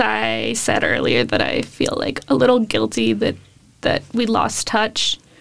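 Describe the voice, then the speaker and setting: Against noticeable background noise, a woman speaks at a fairly slow pace with an American accent. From Davis, California. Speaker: journalism student and podcast producer. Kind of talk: casual interview.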